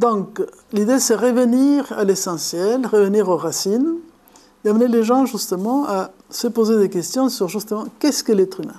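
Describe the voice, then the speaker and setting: A woman's fairly high-pitched voice, dark and mellow in tone, fairly slow, with ordinary pitch variation. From Argentina, Buenos Aires. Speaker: philosophy lecturer and author. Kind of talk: lecture. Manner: halting, with repetitions.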